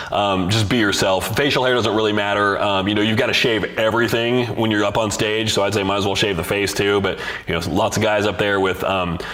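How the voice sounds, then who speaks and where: Amid noticeable background noise and audible room echo, a man talks fairly quickly in a fairly low voice with fairly even intonation. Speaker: bodybuilding coach and podcast host. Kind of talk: live-streamed solo podcast answering viewer questions. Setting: live stream. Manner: fast; casual, many fillers.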